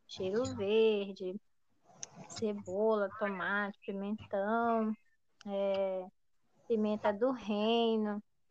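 The speaker has a Pará accent and talks at a very slow pace, with long, frequent pauses. The intonation stays monotone and flat. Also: woman, medium pitch for a woman. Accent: Brazilian Portuguese, Pará (paraense). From Brazil, Ananindeua, Pará. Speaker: podcast host, teacher. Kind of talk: casual chat.

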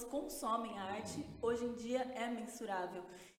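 Noticeable background noise and audible room echo surround a woman speaking at a high pitch with ordinary variation and a moderate pace. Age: 20s. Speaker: music industry communications strategist. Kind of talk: interview. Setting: studio.

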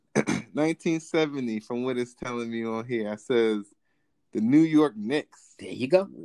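In an ordinary speaking voice with an American accent, a man talks at a fairly slow pace with a medium pitch and lively intonation. His loudness swings widely, and the sound is dry and close with no echo. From New Jersey. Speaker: podcast host. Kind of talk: casual chat.

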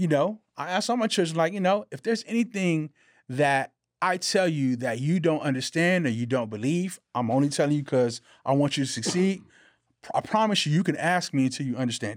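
In a very clean recording with a silent background, a man with an unremarkable speaking voice talks at a fairly quick pace, with fairly high pitch and lively intonation. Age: 40s. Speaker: podcast co-host. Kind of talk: casual chat.

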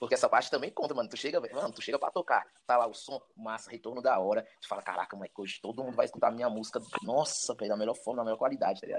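The speech runs at a very fast pace with big swings in loudness. Noticeable background noise sits underneath it. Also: man. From Brazil, Ceilândia (Federal District). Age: 30s. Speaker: rapper. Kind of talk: casual chat. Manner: casual slang-heavy.

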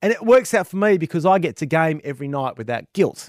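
In a very clean recording with a silent background, a man with an Australian accent sounds animated, his fairly high voice swinging very widely in pitch, the sound dry and close with no echo. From Western Australia. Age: 40s. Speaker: gaming podcast co-host. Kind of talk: casual chat.

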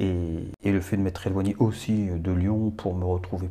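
The voice is somewhat breathy with a dark, mellow tone, fairly even intonation and a moderate pace. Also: man. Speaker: photographer and actor. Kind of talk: casual chat.

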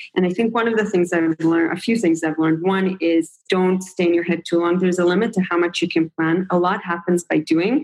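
The speaker has a plain, everyday voice at a fairly quick pace. Loudness stays very even, intonation is fairly even, and there are hardly any pauses. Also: woman, fairly low pitch for a woman. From Israel and the US. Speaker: startup founder and CEO. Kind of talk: interview.

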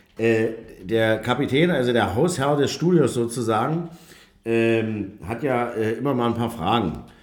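The speech moves at a fairly slow pace with ordinary pitch variation. Audible room echo can be heard. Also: man, medium pitch for a man. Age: 40s. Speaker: podcast host. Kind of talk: casual chat. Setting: studio.

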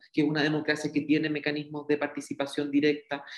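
This is a man speaking. His pitch is fairly high. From southern Chile. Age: 30s. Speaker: politician. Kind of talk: interview. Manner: halting.

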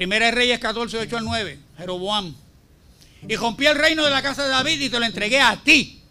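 A man projects his voice at an extremely high pitch in a bright, sharp tone, with lively intonation and a moderate pace. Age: 60s. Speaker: preacher. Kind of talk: sermon. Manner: forceful, confrontational.

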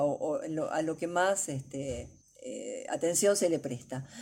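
Her pitch fairly low, a woman speaks with very wide pitch swings. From Argentina, Buenos Aires. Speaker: astrologer. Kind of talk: interview.

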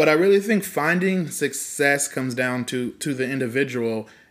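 A man speaks at a moderate pace in a Californian accent. His pitch is fairly high, with ordinary pitch variation. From California (Fresno). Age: 30s. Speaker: podcast co-host, entrepreneur. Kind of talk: casual chat.

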